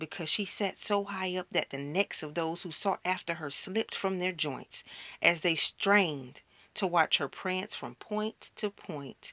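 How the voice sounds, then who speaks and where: The pace is fairly slow. It is a plain, everyday voice, with ordinary pitch variation. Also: woman, fairly low pitch for a woman. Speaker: spoken word poet. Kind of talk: spoken word poetry performance.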